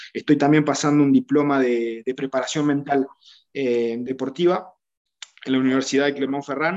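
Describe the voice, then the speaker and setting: A man talks at a moderate pace in a fairly high pitch, keeping his intonation fairly even. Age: 30s. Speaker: rugby coach, former player. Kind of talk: interview. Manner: halting, many repetitions and fillers.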